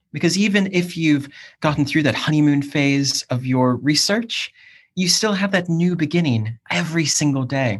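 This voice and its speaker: A man's fairly high, somewhat breathy voice with an American accent, lively intonation, very even loudness and a moderate pace, against a quiet background. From US, Cleveland, Ohio. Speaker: academic and PhD supervisor. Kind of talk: casual chat.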